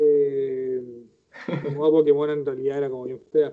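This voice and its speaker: Speaking with a Chilean accent, a man uses lively intonation. His tone is dark and mellow. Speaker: podcast host. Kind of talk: casual live-stream interview. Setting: live video stream.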